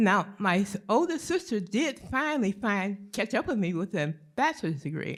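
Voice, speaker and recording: A woman at a moderate pace, with very wide pitch swings and hardly any pauses. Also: medium pitch for a woman. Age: 70s. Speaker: audience member asking a question. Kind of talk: audience Q&A question.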